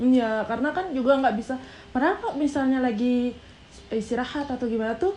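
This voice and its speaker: A high-pitched woman at a fairly quick pace, with ordinary pitch variation. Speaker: YouTuber with scoliosis, marching band coach. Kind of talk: casual chat. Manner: animated; intense, firm tone.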